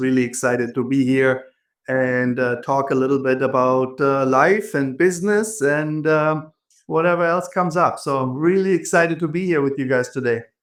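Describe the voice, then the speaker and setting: With a slight German accent, a man of fairly high pitch speaks at a moderate pace with ordinary pitch variation. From Germany, Frankfurt. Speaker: entrepreneur and business coach. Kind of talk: podcast interview.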